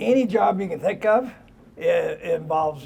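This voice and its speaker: A man talks with a Midwestern US accent. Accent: US Midwest. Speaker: pig farmer. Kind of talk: interview. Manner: halting.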